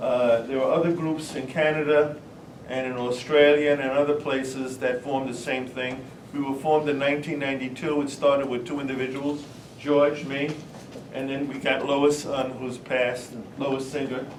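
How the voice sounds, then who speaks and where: In a room with audible echo and noticeable background noise, a man with a fairly high pitch talks at a moderate pace in a monotone, flat intonation. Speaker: retired teacher and activist. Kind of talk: conference talk. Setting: panel with audience. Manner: halting.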